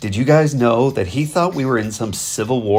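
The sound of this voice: Reading in an unforced voice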